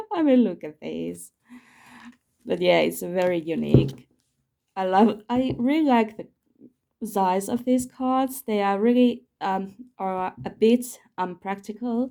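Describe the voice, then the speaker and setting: A woman with a non-native accent speaks at a very slow pace in a dark, mellow tone, her medium pitch showing ordinary variation. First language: not English. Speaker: tarot YouTuber. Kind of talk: casual video chat showing tarot decks. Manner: halting, searching for words.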